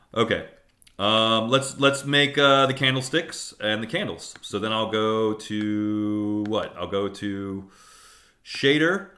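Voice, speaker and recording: Audible room echo surrounds a man speaking very slowly at medium pitch with ordinary pitch variation. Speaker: teacher. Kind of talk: lecture. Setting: live stream.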